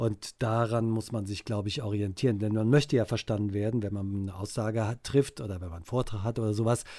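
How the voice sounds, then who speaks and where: A man's fairly low, dark, mellow voice with fairly even intonation, on a very clean recording with a silent background. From Cologne, Germany. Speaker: dialect expert. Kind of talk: casual podcast chat.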